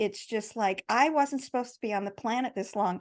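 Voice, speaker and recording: Over a quiet background, a normal speaking voice with an American accent shows ordinary pitch variation. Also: woman. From US Midwest. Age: 60s. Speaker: bodybuilder and online fitness coach. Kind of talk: podcast interview.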